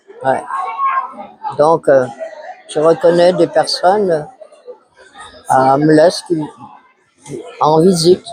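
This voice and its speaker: Over crowd noise in the background, the speaker talks at a very slow pace with long, frequent pauses and fairly even intonation. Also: man, fairly high pitch for a man. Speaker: nursing home resident. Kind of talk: testimony.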